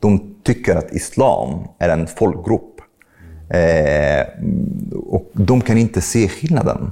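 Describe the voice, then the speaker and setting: A dark, mellow tone in an Arabic accent, with lively intonation. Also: man. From Egypt. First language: Arabic (speaking Swedish). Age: 30s. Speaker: podcast host and atheist commentator. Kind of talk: interview. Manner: halting.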